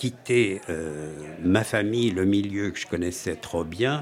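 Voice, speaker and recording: A man's lively intonation at a very slow pace, against noticeable background noise. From Switzerland, canton of Fribourg. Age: 80s+. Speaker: storyteller. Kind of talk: life story interview.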